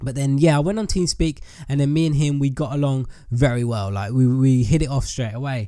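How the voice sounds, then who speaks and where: A man with an English accent talks at a fairly quick pace. His pitch is fairly high and his tone dark and mellow. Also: ordinary pitch variation. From England. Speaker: YouTube gamer. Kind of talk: casual chat to viewers.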